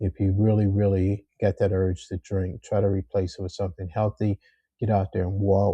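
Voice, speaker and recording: Somewhat breathy and fairly low, a man's voice stays monotone and flat. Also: moderate pace. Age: 60s. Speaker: YouTuber, retiree sharing health tips. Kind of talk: casual vlog monologue. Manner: frequent filler words and self-repeats.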